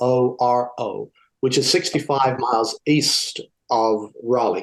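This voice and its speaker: At a very slow pace, a man speaks with an English accent. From southern England. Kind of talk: interview.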